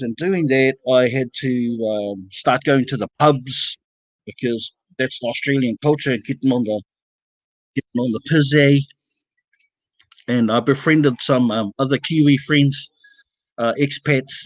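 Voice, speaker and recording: A man with a New Zealand accent talks at a fairly slow pace, his fairly even intonation broken by long, frequent pauses. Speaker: panel guest telling a story. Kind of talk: casual storytelling on a livestream. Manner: halting, many fillers.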